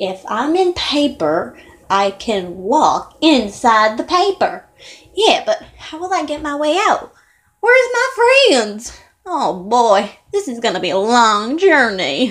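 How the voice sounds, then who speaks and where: A female-sounding cartoonish character voice, high-pitched, with very wide pitch swings and a fairly slow pace. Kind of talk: amateur cartoon character voice. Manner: puzzled, chatty, wondering aloud.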